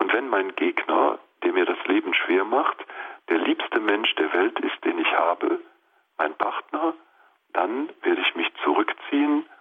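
Here a man is speaking. His pace is fairly slow. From Lower Rhine, Germany (Mönchengladbach). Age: 50s. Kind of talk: radio interview.

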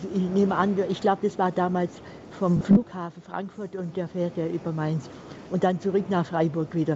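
A woman with a fairly low pitch and monotone, flat intonation talks at a moderate pace amid noticeable background noise. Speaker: caller. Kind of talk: phone-in call. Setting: phone call.

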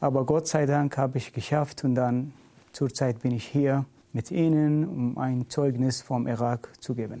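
On a very clean recording with a silent background, a man with a Middle Eastern accent speaks at medium pitch and a fairly slow pace, his intonation fairly even. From Iraq. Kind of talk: interview. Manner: halting non-native German.

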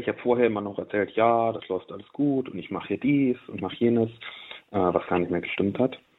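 A normal speaking voice at a moderate pace. Pitch varies in an ordinary way. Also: man. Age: 20s. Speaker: former video game addict, physics graduate. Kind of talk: radio interview, personal testimony.

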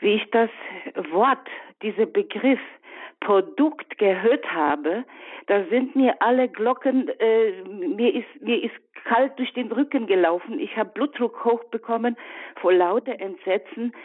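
A woman speaks at a very slow pace in a fairly high, lively voice, leaving long, frequent pauses. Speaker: caller, retired midwife. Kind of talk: radio call-in.

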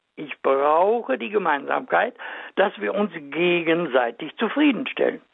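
A man speaks at a fairly slow pace with a high pitch. His pitch swings very widely. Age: 90s. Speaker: marriage and family counselor. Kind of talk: radio interview.

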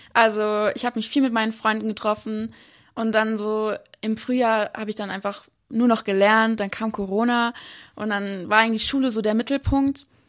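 Her intonation is monotone and flat as the woman talks at a moderate pace. The background is quiet. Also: fairly high pitch for a woman. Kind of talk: testimony interview. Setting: remote live connection.

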